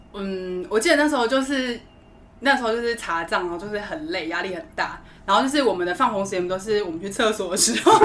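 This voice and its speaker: A woman speaks very fast at a medium pitch, her intonation lively, with noticeable background noise behind her. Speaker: flight attendant. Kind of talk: casual chat. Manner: animated.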